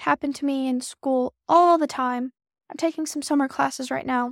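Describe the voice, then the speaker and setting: A woman at a high pitch and moderate pace. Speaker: podcast host. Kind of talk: solo podcast monologue. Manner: casual, filler-heavy.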